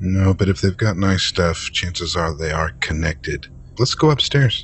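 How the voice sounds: Using a put-on character voice, a man speaks with a low pitch and a fairly bright tone. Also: lively intonation, fairly slow pace.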